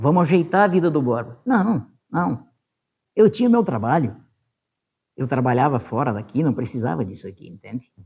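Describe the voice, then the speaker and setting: Speaking at a moderate pace, a somewhat breathy man with a medium pitch makes very wide pitch swings and takes long, frequent pauses. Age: 60s. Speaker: former city council president. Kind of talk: interview testimony. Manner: casual, with frequent fillers.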